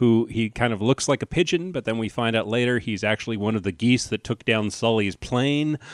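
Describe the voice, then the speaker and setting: In a normal speaking voice, a man with an American accent talks at a fairly quick pace with hardly any pauses, medium pitch, ordinary pitch variation, and a dry, close sound with no echo. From New Jersey. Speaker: podcast host, comedian. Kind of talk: casual chat.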